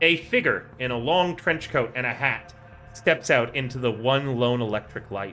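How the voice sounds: Natural reading with typical pitch movement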